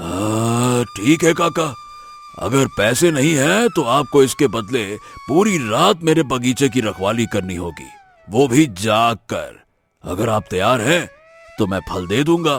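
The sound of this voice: In a cartoonish character voice of medium pitch, a man speaks at a fairly slow pace.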